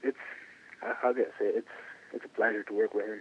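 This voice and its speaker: The speaker is a man talking fairly quickly. Some background noise can be clearly heard. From Curacao. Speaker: baseball pitcher. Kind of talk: interview. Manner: halting.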